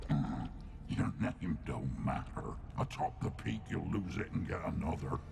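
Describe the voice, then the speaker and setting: A man uses a put-on character voice at a moderate pace. His loudness stays very even despite loud background noise. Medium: video game. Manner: cold, cryptic.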